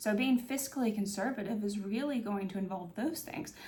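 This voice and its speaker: A woman at medium pitch, with ordinary pitch variation, a fairly quick pace and audible room echo. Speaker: political commentary YouTuber. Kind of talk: video essay monologue. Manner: hesitant, many fillers.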